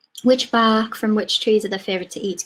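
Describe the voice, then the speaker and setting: A woman with a slight Cumbrian accent. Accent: slight Cumbrian twang. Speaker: wildlife project officer. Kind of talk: online talk Q&A. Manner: casual, chatty.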